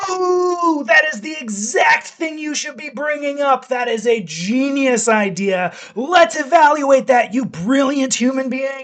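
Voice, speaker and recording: Hardly pausing at all, the speaker uses a high-pitched, put-on character voice at a fairly slow pace. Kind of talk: sycophantic. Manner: gushing, flattering.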